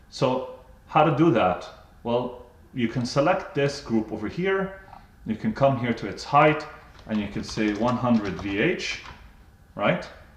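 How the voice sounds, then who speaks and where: A man's medium-pitched, somewhat breathy voice at a fairly slow pace, with lively intonation. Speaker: software trainer. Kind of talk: tutorial. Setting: live webinar.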